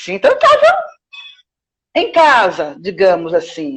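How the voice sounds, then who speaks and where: A woman speaks at a very slow pace. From Brazil, Salvador (Bahia). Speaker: clown and theatre teacher. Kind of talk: interview.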